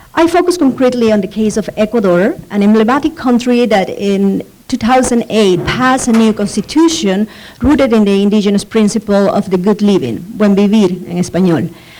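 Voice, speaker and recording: Over noticeable background noise, a woman with a fairly high pitch speaks at a fairly quick pace and very even loudness. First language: Spanish. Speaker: professor. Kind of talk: conference presentation. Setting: conference panel. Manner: reading from notes, frequent fillers.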